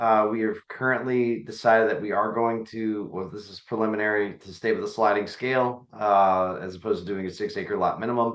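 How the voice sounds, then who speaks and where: A man with an American accent speaks at a fairly quick pace, hardly pausing, in a plain, everyday voice. His pitch sits in the medium range, and his loudness swings widely. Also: fairly even intonation. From Virginia, Nelson County. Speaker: county supervisor. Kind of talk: meeting update. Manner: casual.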